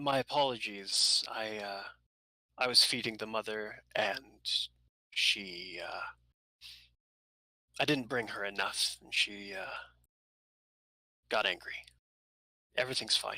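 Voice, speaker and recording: Putting on a character voice at a medium pitch, a man speaks at a fairly slow pace with long, frequent pauses. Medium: actual play. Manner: placating.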